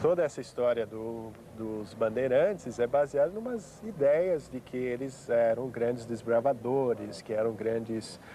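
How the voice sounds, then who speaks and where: With hardly any pauses, a man speaks at a fairly slow pace in a medium pitch, using ordinary pitch variation. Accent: slight non-native. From United States. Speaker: historian. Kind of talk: TV interview. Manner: hesitant, many fillers.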